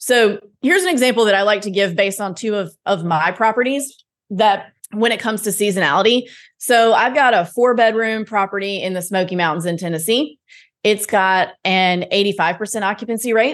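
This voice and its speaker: Against a quiet background, an ordinary speaking voice moves at a fairly quick pace with ordinary pitch variation. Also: woman, medium pitch for a woman. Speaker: podcast host and real estate investor. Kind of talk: casual interview.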